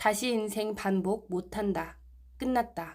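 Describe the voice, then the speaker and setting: Very slowly, a woman speaks at a fairly high pitch with ordinary pitch variation, in a very clean recording with a silent background. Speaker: amateur narrator, video maker. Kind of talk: sermon text reading.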